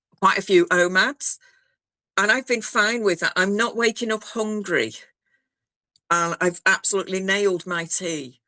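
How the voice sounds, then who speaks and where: A woman with a northern English accent speaks at a medium pitch and moderate pace in a bright, sharp tone, with a dry, close sound and no echo. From northern England. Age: 60s. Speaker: programme member. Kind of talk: casual chat.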